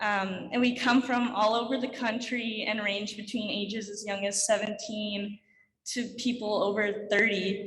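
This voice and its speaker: In a room with audible echo, a woman with a Canadian accent speaks fairly slowly at a fairly high pitch in a monotone, flat intonation. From Quebec, Canada. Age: 20s. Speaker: alpine ski racer. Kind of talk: conference talk.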